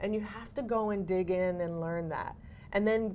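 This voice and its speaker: A speaker with an unremarkable speaking voice and an American accent talks at a moderate pace with ordinary pitch variation. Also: woman. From Cambridge, Massachusetts. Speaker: actor and educator. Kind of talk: interview answer.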